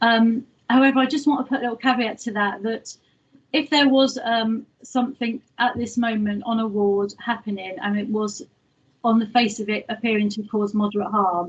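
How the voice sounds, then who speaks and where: Somewhat breathy, a woman speaks at a fairly high pitch. Her pace is moderate and her intonation fairly even. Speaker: hospital complaints manager. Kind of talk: presentation at online governors meeting.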